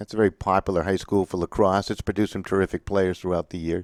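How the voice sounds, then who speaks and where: A man with a Massachusetts accent talks at a fairly quick pace in a very deep, low voice, the sound dry and close with no echo. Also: very clean recording, silent background. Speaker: sports play-by-play announcer. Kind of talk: live commentary.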